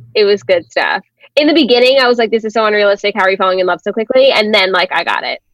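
Talking at a very fast pace, a woman with an American accent has a fairly high pitch and ordinary pitch variation. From New York City. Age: 20s. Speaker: podcaster. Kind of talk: casual chat.

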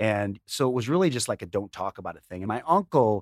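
An ordinary speaking voice from a man with a fairly low pitch and an American accent, fairly quick in pace, on a very clean recording with a silent background and a dry, close sound with no echo. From Chicago suburbs. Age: 50s. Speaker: chef and TV personality. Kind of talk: casual interview.

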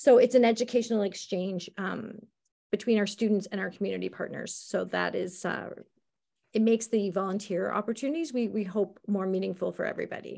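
A woman's medium-pitched voice with a dark, mellow tone and vocal fry, ordinary pitch variation, and a fairly quick pace. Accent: Canadian. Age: 50s. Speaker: school administrator. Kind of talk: interview conversation. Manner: hesitant, many fillers.

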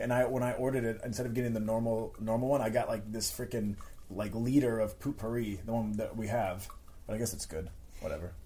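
A man with a medium pitch talks at a fairly quick pace. His intonation stays fairly even, and there is noticeable background noise. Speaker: host's boyfriend. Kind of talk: casual chat. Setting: recording while traveling in Italy.

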